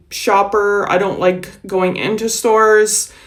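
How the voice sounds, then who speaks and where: A woman speaks at a fairly slow pace in a monotone, flat intonation, with audible room echo. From United States. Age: 40s. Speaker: vlogger. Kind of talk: casual vlog talk. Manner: slurs words.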